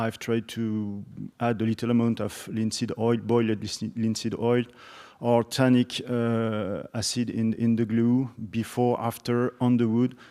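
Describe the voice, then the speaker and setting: In a French accent, a man speaks very slowly with a dark, mellow tone and monotone, flat intonation. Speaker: instrument maker. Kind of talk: conference discussion. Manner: halting.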